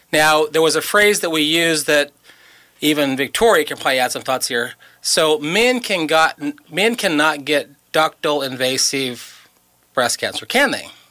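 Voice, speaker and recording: A man's fairly high pitch and bright, sharp tone, with ordinary pitch variation at a moderate pace. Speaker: radio host. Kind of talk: casual radio chat. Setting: radio studio.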